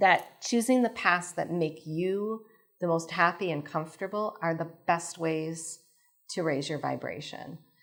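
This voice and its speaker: A woman's fairly low voice at a fairly slow pace, an unremarkable speaking voice. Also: ordinary pitch variation. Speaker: spiritual channeler. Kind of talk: live lecture with audience Q&A. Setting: stage with audience.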